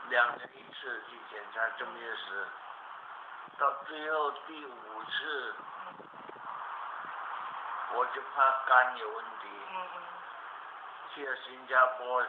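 Pausing long and often, a man speaks very slowly amid noticeable background noise. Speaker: qigong master, cancer survivor. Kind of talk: interview answer. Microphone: camera far.

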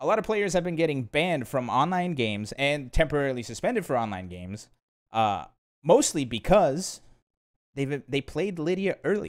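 Against a quiet background, a man speaks in an animated tone at a moderate pace. His fairly high voice swings very widely in pitch. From Brazil. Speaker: podcast host. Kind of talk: casual chat. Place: home room. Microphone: studio mic.

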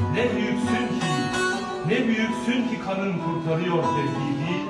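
Over loud background music and audible room echo, a man talks at a very slow pace. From Turkey. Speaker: gendarmerie sergeant. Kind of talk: poetry reading. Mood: solemn, emotional. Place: home room.

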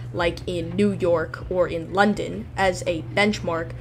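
A woman speaks at a fairly slow pace. Music plays in the background. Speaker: travel vlogger narrator. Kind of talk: travel vlog narration.

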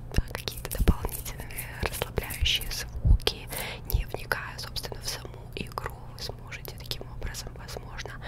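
A soft-spoken whisper at a moderate pace. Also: woman. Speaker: ASMR streamer. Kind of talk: soft gaming commentary. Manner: soft close-mic ASMR whisper. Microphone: studio mic.

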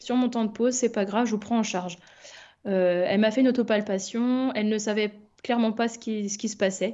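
At a fairly quick pace, a woman speaks with a fairly high pitch against a quiet background. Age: 30s. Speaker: nurse and cancer patient. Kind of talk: testimony. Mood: calm, reflective. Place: home room. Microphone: webcam.

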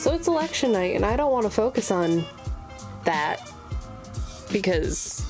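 A woman at a fairly high pitch and moderate pace, very even in loudness, with long, frequent pauses and music in the background. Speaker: sewing content creator. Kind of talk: casual sewing vlog voice-over.

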